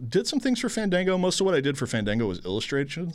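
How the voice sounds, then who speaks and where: A man speaks with an American accent, his pitch swinging very widely. The recording is very clean, with a silent background. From Houston, Texas. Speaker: film critic and sketch show producer. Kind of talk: casual chat.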